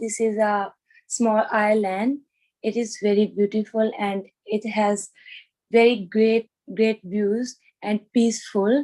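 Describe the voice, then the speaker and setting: At a very slow pace, a woman speaks in a dark, mellow tone. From India. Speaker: IELTS test candidate. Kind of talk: mock speaking exam interview. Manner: halting.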